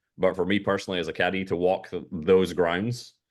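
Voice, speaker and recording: Speaking at a moderate pace over a quiet background, a man with a Scottish accent has a very deep, low pitch. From Scotland. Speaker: golf caddy. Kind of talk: interview. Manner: halting.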